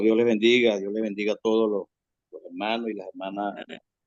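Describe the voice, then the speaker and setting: In a medium pitch, a man talks fairly quickly with monotone, flat intonation. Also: big swings in loudness. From Venezuela, Zulia (Mene Grande). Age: 60s. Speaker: prison ministry worker. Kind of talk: testimony. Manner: halting, with frequent repetitions.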